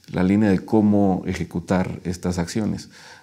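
Against a quiet background, a man with a Mexico City accent talks at a fairly slow pace in a very deep, low pitch, his tone dark and mellow and his intonation monotone and flat. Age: 40s. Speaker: local councillor. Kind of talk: interview. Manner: halting, many fillers. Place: studio. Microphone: lapel.

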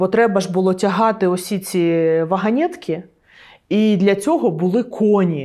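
With lively intonation, a woman with a normal speaking voice talks at a fairly slow pace in a very clean recording with a silent background. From Donetsk, Ukraine. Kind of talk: interview answer. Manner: casual, conversational.

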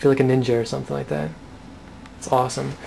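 A man is speaking. Light background noise runs underneath. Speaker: vlogger. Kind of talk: casual product review. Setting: outdoors in snowy backyard. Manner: casual, slangy. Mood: playful, amused. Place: home room. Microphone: phone near.

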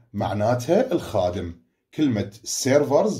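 This man has a dark, mellow, somewhat breathy tone at medium pitch. His intonation is lively. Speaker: school teacher. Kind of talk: online lesson.

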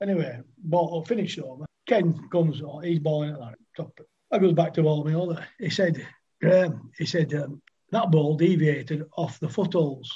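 A man speaks in a Lancashire accent with a fairly high pitch. His tone is dark and mellow, at a moderate pace. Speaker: retired cricketer. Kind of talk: casual chat.

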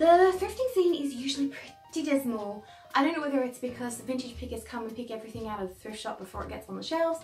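A woman's high voice at a very fast pace, with big swings in loudness and faint music in the background. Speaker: vintage fashion vlogger. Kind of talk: casual vlog chat. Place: home room.

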